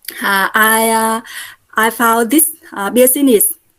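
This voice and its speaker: Slowly and with fairly even intonation, a woman speaks in a fairly high pitch with a Vietnamese accent. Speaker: Buddhist nun and network marketer. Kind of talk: testimony. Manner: halting, many fillers.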